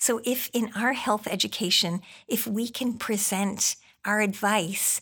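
A woman with a normal speaking voice talks at a fairly slow pace and a fairly high pitch. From Canada. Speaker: physician and health educator. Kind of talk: interview.

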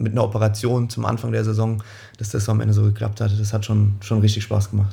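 A somewhat breathy man with a fairly low pitch and a dark, mellow tone speaks at a fairly quick pace in a monotone, flat intonation. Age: 20s. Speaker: sprint coach. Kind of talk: interview.

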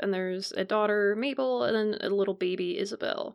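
A woman's plain, everyday voice, medium in pitch with ordinary pitch variation and a moderate pace, on a very clean recording with a silent background. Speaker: podcast host. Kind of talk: casual chat.

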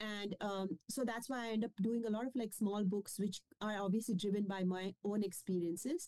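A woman speaks in a Kashmiri accent at a medium pitch. Her pace is moderate and her intonation fairly even. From India, Kashmiri-speaking. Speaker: nonprofit founder and author. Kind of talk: interview.

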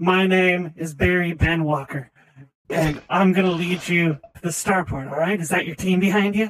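Pitched in the middle range, this voice is a put-on character voice. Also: moderate pace. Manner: casual, jumpy.

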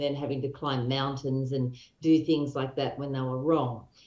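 A woman in an Australian accent with a very deep, low pitch, a fairly quick pace and monotone, flat intonation. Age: 60s. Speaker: property investment expert. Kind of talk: interview.

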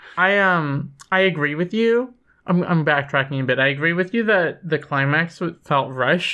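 The background is quiet. The speaker talks at a moderate pace. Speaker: podcast co-host. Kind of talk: casual chat. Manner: halting.

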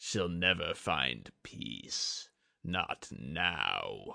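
In a raspy put-on character voice, a man speaks with a very deep, low pitch. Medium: read story. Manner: cold, calculating.

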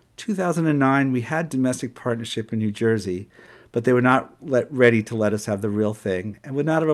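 Someone reads aloud. The reading is plain.

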